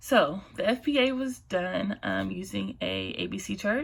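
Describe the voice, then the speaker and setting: A woman speaks in a shaky voice. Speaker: student presenting a case study. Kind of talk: class presentation.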